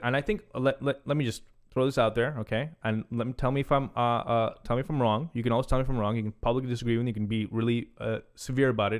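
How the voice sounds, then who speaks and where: Speaking very fast, this man keeps his pitch in the medium range. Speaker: commentary channel host. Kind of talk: casual interview chat. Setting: studio. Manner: loud, boisterous.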